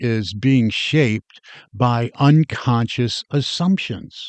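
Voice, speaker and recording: Against a quiet background, a man speaks at a medium pitch with lively intonation. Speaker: podcast host. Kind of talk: motivational podcast talk. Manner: deliberately slowed with pauses.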